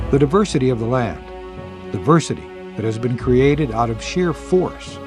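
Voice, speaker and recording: With music in the background, a man speaks at a moderate pace. His medium-pitched voice makes very wide pitch swings. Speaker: state representative. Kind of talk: documentary narration; tourism video narration.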